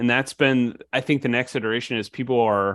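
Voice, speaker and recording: This man uses an ordinary speaking voice with a medium pitch, fairly even intonation and a moderate pace. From Illinois. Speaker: bankruptcy attorney. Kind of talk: casual chat. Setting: video call.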